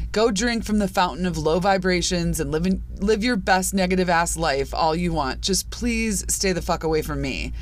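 Audible room echo around a woman's American-accented voice, at a moderate pace. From US Midwest, Chicago suburbs. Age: 40s. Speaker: podcast host. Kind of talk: personal monologue podcast. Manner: casual, conversational.

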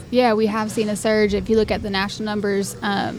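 A woman talks very fast while noticeable background noise fills the clip. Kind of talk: casual interview chat. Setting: on location at venue.

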